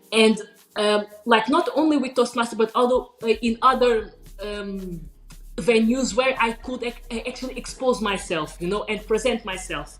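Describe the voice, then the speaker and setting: A woman with a fairly high pitch talks at a moderate pace, her pitch varying in an ordinary way, as noticeable background noise carries on. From Portugal. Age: 20s. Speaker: business coach. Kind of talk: interview. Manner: halting.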